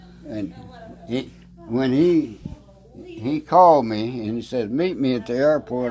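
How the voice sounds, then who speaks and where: There is noticeable background noise as a man speaks at a fairly slow pace. His pitch is medium, with ordinary pitch variation. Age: 80s+. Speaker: retired photographer. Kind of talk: interview answer.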